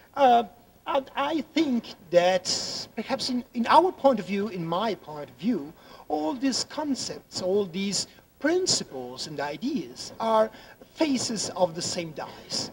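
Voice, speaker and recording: A man with an Italian accent speaks very slowly in a high voice, his pitch swinging very widely. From Italy. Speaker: law professor. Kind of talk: conference talk. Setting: conference room with audience. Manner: halting, frequent repetitions.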